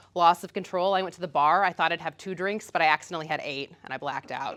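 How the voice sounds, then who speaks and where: A woman speaks at a very fast pace in a medium-pitched voice. The recording is very clean, with a silent background. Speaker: physician. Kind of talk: presentation. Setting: meeting with audience.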